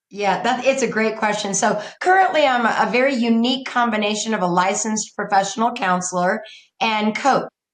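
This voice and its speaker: A woman's voice at a fairly quick pace, with ordinary pitch variation, very even loudness and audible room echo. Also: fairly high pitch for a woman. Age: 60s. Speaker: counselor and coach, podcast guest. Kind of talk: casual interview.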